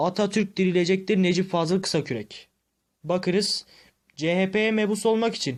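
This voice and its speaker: On a very clean recording with a silent background, a man speaks at a fairly slow pace with a high pitch and ordinary pitch variation. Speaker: YouTube history commentator. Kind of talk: monologue debunking video. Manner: harsh-toned.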